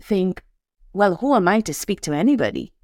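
A voice with a Saint Lucian accent comes through a very clean recording with a silent background. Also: woman. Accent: Saint Lucian Caribbean English. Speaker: podcast host and life coach. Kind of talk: solo podcast monologue. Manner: light-hearted, humorous, chatty.

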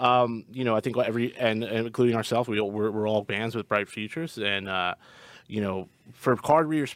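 A man with an American accent, medium pitch, ordinary pitch variation and a very fast pace, on a very clean recording with a silent background. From US Northeast, Long Island. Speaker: rock band musician. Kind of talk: casual interview chat. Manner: halting, repeats words.

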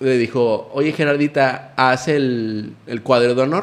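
Here is a man with an unremarkable speaking voice. He talks at a fairly slow pace. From Nuevo León, Mexico. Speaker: podcast guest. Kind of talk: casual chat.

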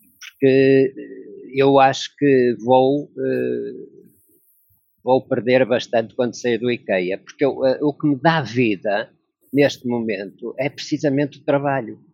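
A man of medium pitch speaks at a very slow pace with ordinary pitch variation. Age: 60s. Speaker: logistics worker. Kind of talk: interview. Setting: video call.

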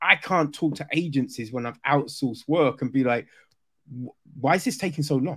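Someone with a southern English accent speaks at a moderate pace with ordinary pitch variation. The recording is very clean, its background silent. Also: man, fairly high pitch for a man. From southern England. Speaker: podcast host. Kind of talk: casual interview.

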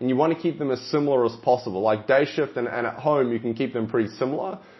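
With an Australian accent, the voice has an energetic tone and ordinary pitch variation. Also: man. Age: 20s. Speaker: fitness coach and podcast host. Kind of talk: solo podcast monologue.

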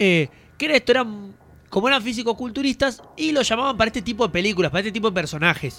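Very fast and high-pitched, a man's raised, projected voice carries a bright, sharp tone and lively intonation. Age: 20s. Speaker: podcast host. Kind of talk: casual chat.

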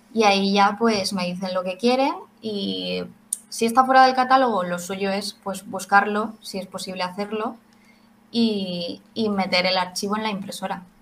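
Here a woman talks at a fairly slow pace in a medium pitch with fairly even intonation. Her voice is somewhat breathy. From Spain, Valencia. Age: 20s. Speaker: 3D printing craft maker. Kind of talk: interview.

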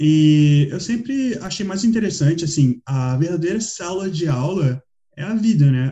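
Lively intonation marks this man's fairly high-pitched voice, which has a dark, mellow tone. He speaks with a Rio de Janeiro accent. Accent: Rio de Janeiro Brazilian Portuguese. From Brazil, Rio de Janeiro. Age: 20s. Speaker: podcast co-host. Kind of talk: casual chat.

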